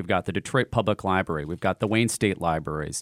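Recorded dry and close with no echo, a man speaks at a very deep, low pitch. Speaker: music preservation director. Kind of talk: radio interview. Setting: studio.

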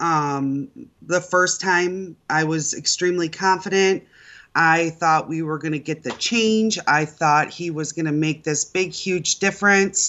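In an American accent, a woman speaks at a very slow pace. Her voice is fairly low, with ordinary pitch variation. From Michigan. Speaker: voter, works in family automotive business. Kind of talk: radio call-in interview.

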